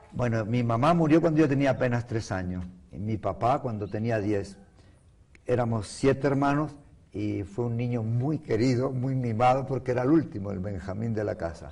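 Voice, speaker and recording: A man with a Venezuelan accent, medium pitch, ordinary pitch variation, a dark, mellow, somewhat breathy tone and moderate pace. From Canary Islands, Spain (Las Palmas de Gran Canaria). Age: 70s. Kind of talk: interview.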